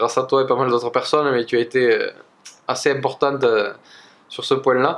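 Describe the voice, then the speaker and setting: At a moderate pace, a man with a medium pitch talks with a slight southwestern French accent. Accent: slight south-west French. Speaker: energy healer. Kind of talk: casual personal story to camera. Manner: hesitant, many fillers.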